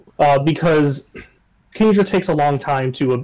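At a fairly slow pace, a man speaks in an ordinary speaking voice, fairly high-pitched with ordinary pitch variation. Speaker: gamer. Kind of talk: casual chat. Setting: video call.

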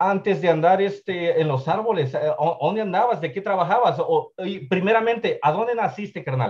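A man's high-pitched voice with a slightly husky edge, lively intonation and a moderate pace

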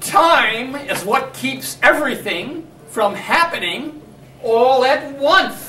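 A man's put-on character voice, extremely high in pitch, raised and projected, at a very slow pace, with slight echo and clear background noise. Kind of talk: comedy skit dialogue. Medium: stage.

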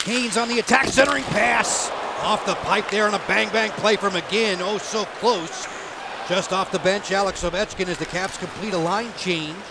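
Amid noticeable background noise, a man with a high pitch speaks in an animated tone at a moderate pace, with ordinary pitch variation. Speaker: hockey play-by-play announcer. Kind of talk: live commentary. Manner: animated, rising intensity on shots and saves.

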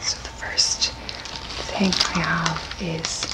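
A soft-spoken woman is whispering over loud background noise. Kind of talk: casual vlog chat. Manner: soft whisper introducing an item. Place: home room. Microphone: studio mic.

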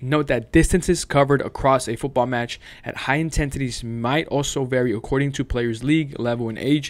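With fairly even intonation, a man speaks at a fairly quick pace. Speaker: fitness coach. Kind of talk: tutorial. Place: home room.

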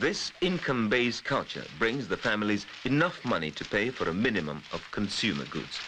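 Medium-pitched male speech at a fairly quick pace, with very wide pitch swings and noticeable background noise. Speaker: documentary narrator. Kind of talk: 1980s documentary narration, scripted voice-over. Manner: measured, formal, steady; authoritative, travelogue-style delivery.

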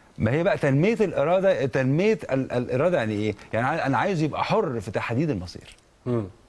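Amid noticeable background noise, a man speaks at a fairly quick pace and fairly high pitch, with very wide pitch swings. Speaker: psychologist or counselor. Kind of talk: TV talk show interview.

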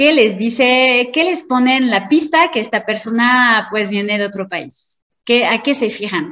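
With lively intonation, a woman speaks fairly slowly in a fairly high voice. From France. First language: French (speaking Spanish). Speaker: marketing consultant. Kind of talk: lecture.

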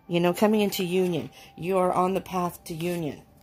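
A woman talks at a moderate pace. Behind her, faint music plays. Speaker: card reader. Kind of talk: casual reading commentary. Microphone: phone near.

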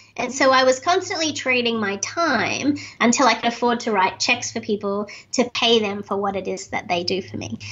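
A woman with an Australian accent, fairly high in pitch, at a moderate pace. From Australia, Sydney. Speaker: speaker and author; podcast guest. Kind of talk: interview. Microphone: webcam.

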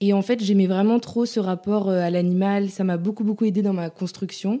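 In a very clean recording with a silent background, a woman of medium pitch talks at a moderate pace with a dark, mellow tone and fairly even intonation. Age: 30s. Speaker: digital consultant and dog owner. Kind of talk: casual interview chat.

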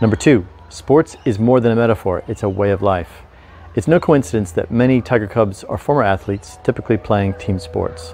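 A man speaks at a fairly quick pace, fairly low in pitch, with ordinary pitch variation. The sound is dry with no echo, with light background noise. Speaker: investment commentator. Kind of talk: commentary. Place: garden. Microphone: lapel.

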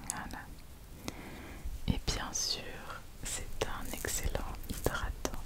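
Amid loud background noise, a woman speaks very slowly with long, frequent pauses. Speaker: ASMR creator role-playing a spa therapist. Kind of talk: ASMR spa roleplay, soft personal attention. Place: home room. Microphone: studio mic.

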